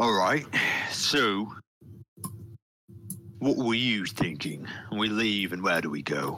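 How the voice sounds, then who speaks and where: A man puts on a raspy character voice, fairly low in pitch. He goes fairly slowly, with long, frequent pauses. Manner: gruff, suspicious, grudging.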